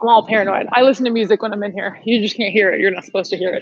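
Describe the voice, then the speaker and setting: A woman's voice with fairly high pitch. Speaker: fitness instructor. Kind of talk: live workout class instruction. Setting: home livestream workout. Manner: animated; loud.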